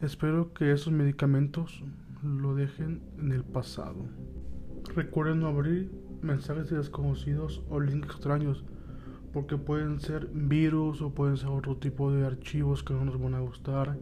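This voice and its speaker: Music plays in the background. Over it, a man speaks at a fairly slow pace. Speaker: podcast host and storyteller. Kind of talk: dramatic narration of a horror story, first-person creepypasta read aloud. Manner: tense, suspenseful, ominous storyteller.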